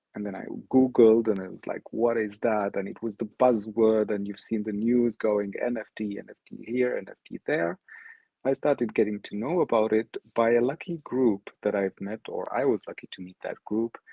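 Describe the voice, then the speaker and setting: In an Arabic accent, a man talks with fairly even intonation but big swings in loudness. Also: medium pitch for a man, moderate pace. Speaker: NFT artist. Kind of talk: online presentation.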